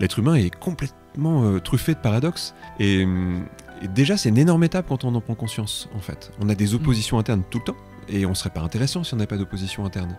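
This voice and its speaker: Over music in the background, a man speaks very fast in a fairly low pitch with lively intonation. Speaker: hypnosis practitioner and trainer. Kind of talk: interview answer.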